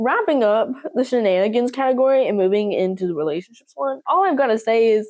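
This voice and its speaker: A woman speaks with an American accent. Her pitch is fairly high and her pace is moderate. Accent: slight southern accent, occasionally. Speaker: YouTuber. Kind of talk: casual vlog talk. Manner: animated.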